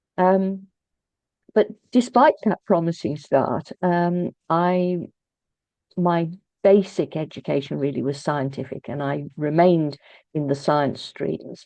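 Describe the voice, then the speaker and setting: A woman speaks very slowly with a British accent, her pitch fairly low and her tone dark and mellow, with ordinary pitch variation. Long pauses come often, against a quiet background. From England, Birmingham. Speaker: author and poet. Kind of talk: interview. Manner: halting, many fillers and repeats.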